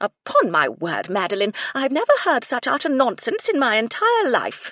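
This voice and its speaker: In a shrill, high-pitched put-on character voice, the speaker goes at a moderate pace. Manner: indignant, disapproving.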